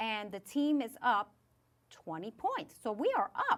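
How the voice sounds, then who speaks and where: A woman speaks in a New York accent with an animated tone. Her pitch is fairly high. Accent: New York (Bronx). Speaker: podcast host. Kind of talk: casual chat. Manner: loud.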